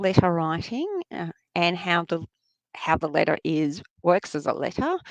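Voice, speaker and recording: A woman with an Australian accent, fairly even intonation, long and frequent pauses, and a dry, close sound with no echo. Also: fairly low pitch for a woman, moderate pace. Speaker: New Testament scholar. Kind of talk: interview. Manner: halting, many fillers.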